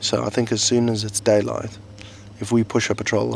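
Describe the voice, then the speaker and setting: Over noticeable background noise, a soft-spoken man talks at a moderate pace and a fairly low pitch, with fairly even intonation. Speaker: soldier keeping a video diary. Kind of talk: video diary. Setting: outdoors in the desert in Afghanistan. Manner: quiet, speaking softly.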